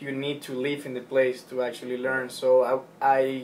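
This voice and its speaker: Speaking at a moderate pace in a Spanish accent, a man with a medium pitch delivers his words in a monotone, flat intonation. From Ecuador. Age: 20s. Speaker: former college tennis player, student. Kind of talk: interview.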